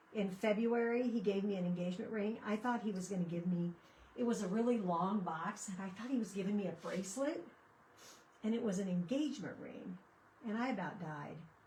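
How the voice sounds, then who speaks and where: Noticeable background noise and audible room echo surround this recording. A woman speaks at a medium pitch and a fairly quick pace. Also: ordinary pitch variation. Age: 60s. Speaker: craft livestreamer. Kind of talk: casual chat during live crafting stream. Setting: livestream. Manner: chatty, conversational.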